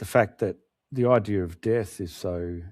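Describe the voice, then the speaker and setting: On a very clean recording with a silent background, a man with an Australian accent speaks fairly slowly, his fairly low voice dark and mellow and his intonation fairly even. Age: 60s. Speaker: author. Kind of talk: interview.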